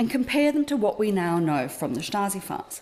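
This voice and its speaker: Speaking in an Australian accent, a woman uses a fairly high pitch, lively intonation and a fairly quick pace over noticeable background noise. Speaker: academic lecturer, fellow. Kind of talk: academic lecture. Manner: formal.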